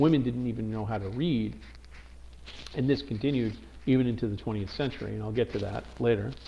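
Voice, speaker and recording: A very fast, somewhat breathy man with a Brooklyn accent, a dark, mellow tone, ordinary pitch variation, long, frequent pauses, and audible room echo. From US Northeast, Brooklyn, New York. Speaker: teacher. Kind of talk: lecture. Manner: hesitant, many fillers and restarts.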